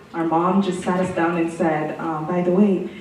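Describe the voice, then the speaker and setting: A woman with a French accent talks at a moderate pace and a fairly low pitch, with audible room echo and noticeable background noise. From Burundi, then London, Ontario. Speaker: city councillor. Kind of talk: personal testimony interview. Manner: hesitant, many fillers.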